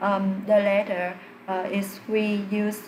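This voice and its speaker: A woman talks at a medium pitch. Noticeable background noise and audible room echo surround her voice. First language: not English. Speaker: English learner doing test practice. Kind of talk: spoken exam practice answer. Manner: halting, many fillers.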